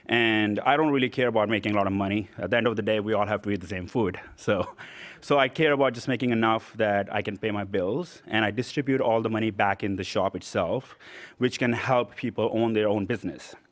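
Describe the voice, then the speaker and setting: A man with a non-native accent, fairly low in pitch with ordinary pitch variation, at a fairly quick pace. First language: not English. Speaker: small business owner, award recipient. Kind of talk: acceptance speech. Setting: stage at awards event.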